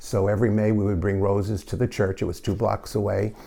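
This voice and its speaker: This man speaks at a fairly quick pace with a New York accent. His fairly low voice has a dark, mellow tone and sounds somewhat breathy. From New York City (Queens). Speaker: parish lay group member. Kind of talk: interview.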